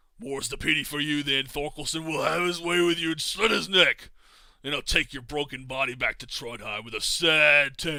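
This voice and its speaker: In a put-on character voice, a man talks at a fairly quick pace with fairly high pitch, sounding guttural and raspy. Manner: menacing.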